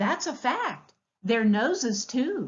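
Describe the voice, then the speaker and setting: A woman puts on a character voice, pitched high and swinging very widely up and down. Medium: read story. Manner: warm, playful.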